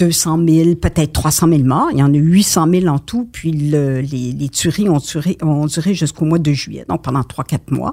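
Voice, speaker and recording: A woman's very deep, low voice with a dark, mellow tone, ordinary pitch variation and a fairly slow pace. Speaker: retired war correspondent. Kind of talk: interview.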